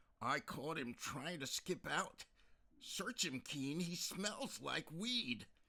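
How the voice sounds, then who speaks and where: A man puts on a character voice at a fairly high pitch. He goes at a very slow pace with very wide pitch swings. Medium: read story. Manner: brusque.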